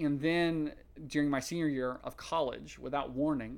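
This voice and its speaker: This is an ordinary speaking voice, a man's, pitched fairly high. He talks at a moderate pace with fairly even intonation. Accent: American. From US South, rural East Tennessee. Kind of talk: interview testimony.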